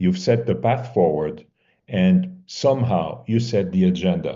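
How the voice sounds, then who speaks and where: A man's very deep, low voice with a French accent, at a fairly slow pace, full of vocal fry and very wide pitch swings. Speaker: mediation competition assessor. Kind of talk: feedback to competitors. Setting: video call.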